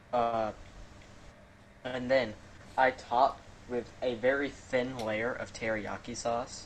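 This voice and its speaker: Long, frequent pauses break up a man's very slow, monotone, flat speech at a medium pitch. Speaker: podcast co-host. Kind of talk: casual chat.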